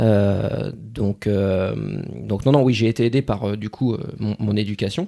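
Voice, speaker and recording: With vocal fry, a man speaks at a fairly low pitch in a dark, mellow tone with fairly even intonation. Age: 30s. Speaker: former firefighter turned property investor. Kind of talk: casual interview. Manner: hesitant, many fillers.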